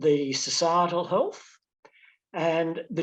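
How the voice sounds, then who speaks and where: A man is speaking. His pitch is high. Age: 70s. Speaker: ageing advocate. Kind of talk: panel discussion.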